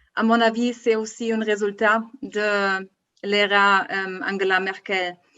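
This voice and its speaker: A woman talks very slowly at a medium pitch, her intonation monotone and flat. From Germany. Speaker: politician, federal board member of a left party. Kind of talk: political panel debate. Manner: halting, hesitant.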